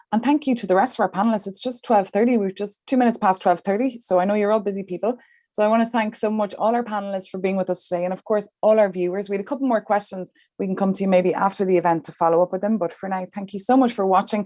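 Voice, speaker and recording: Talking at a very fast pace in an Irish accent, a woman uses a medium pitch, a dark, mellow tone and fairly even intonation. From Ireland. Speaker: journalist, event moderator. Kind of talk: panel moderation.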